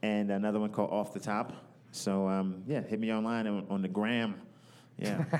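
A plain, everyday voice at a moderate pace, with very even loudness and fairly even intonation. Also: man, fairly low pitch for a man. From New York. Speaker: comedian. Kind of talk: casual chat. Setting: live at a comedy festival.

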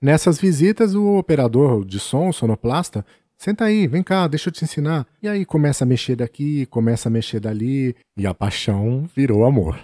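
A man talks at a moderate pace in a fairly high pitch, with a dark, mellow tone and very wide pitch swings. The recording is very clean and dry, close with no echo, over a silent background. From São Paulo state, Brazil (city of São Paulo and Birigui). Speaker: travel podcaster. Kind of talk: personal storytelling monologue.

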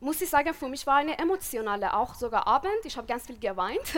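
A woman speaks with a Persian accent on a very clean recording with a silent background. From Iran. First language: Persian (speaking German). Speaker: podcast co-host. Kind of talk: live panel discussion. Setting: stage with audience outdoors.

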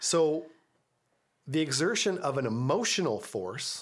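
A man speaks with a Canadian accent. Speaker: real estate agent and podcast host. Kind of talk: casual panel discussion. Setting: on location, background noise.

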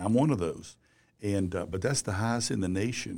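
A very deep, low male voice comes across on a very clean recording, silent background. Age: 60s. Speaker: business journalist and former publisher. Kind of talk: interview.

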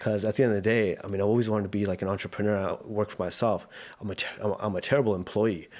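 Speaking at a very fast pace with flat, monotone intonation, this voice has a Canadian accent on a very clean recording with a silent background. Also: man, fairly low pitch for a man. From South Vancouver, Canada. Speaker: digital media entrepreneur. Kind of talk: casual interview. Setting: studio.

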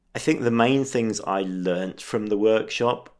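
A man with an English accent, at a fairly slow pace, with fairly even intonation. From England. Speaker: street photographer. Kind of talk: casual interview.

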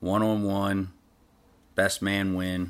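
The recording is very clean, with a silent background. A man talks fairly slowly at a fairly low pitch. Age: 40s. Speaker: amateur pro wrestler. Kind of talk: casual interview.

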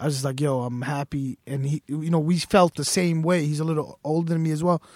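A man with an ordinary speaking voice talks at a fairly quick pace with fairly even intonation, recorded dry and close with no echo. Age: 20s. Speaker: sneaker store owner. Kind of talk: casual chat. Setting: studio.

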